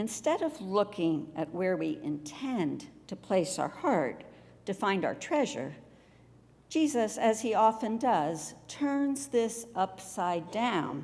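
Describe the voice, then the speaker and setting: A woman with an American accent at a very slow pace, her pitch swinging very widely. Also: medium pitch for a woman. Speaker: retired pastor, guest preacher. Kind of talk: church sermon.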